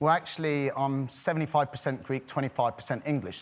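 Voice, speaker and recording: Talking at a very fast pace, a man with an English accent speaks at a fairly high pitch. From United Kingdom. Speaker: dating show contestant. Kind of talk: casual TV interview.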